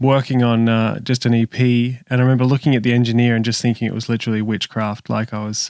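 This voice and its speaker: A man's medium-pitched voice with an Australian accent, fairly quick pace and monotone, flat intonation. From Australia, Sydney. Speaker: music producer and session bass player. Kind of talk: podcast interview.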